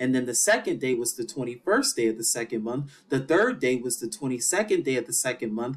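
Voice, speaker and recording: A man talks at a medium pitch. His pace is fairly quick. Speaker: bible teacher. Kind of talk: scripture teaching lecture. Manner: fast.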